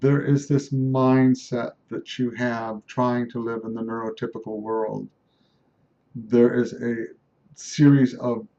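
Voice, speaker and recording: A man at medium pitch, very slow, with a dark, mellow tone and monotone, flat intonation. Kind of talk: personal video diary. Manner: halting, many fillers and restarts.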